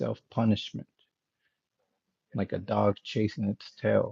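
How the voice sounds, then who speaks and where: Soft-spoken and somewhat breathy, a man talks at a fairly slow pace in a fairly low pitch, his dark, mellow tone carried on fairly even intonation. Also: dry, close sound with no echo. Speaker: motivational speaker. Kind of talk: live stream talk. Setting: home live stream.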